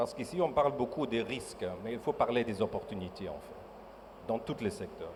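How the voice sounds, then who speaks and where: Noticeable background noise accompanies a man who talks with a non-native accent. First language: not French (speaking French). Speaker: mining company executive. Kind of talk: panel discussion. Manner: halting.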